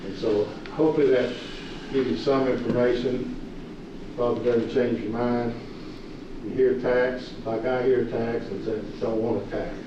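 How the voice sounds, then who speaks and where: Speaking in a Kentucky accent with monotone, flat intonation, a man at medium pitch keeps a moderate pace broken by long, frequent pauses, with audible room echo and noticeable background noise. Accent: western Kentucky Southern US. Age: 60s. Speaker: county judge-executive. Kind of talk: public meeting address. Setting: county fiscal court meeting with audience. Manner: hesitant, many fillers.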